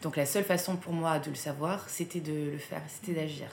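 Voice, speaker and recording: Noticeable background noise and audible room echo surround a woman speaking at a moderate pace with a fairly low pitch. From southern France. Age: 30s. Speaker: art business co-founder. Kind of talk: interview. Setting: in her company's office.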